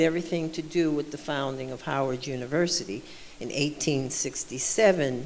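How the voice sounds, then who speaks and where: At a moderate pace, a woman speaks with audible room echo and noticeable background noise. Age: 70s. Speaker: panelist, alumna. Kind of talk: panel talk. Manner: halting.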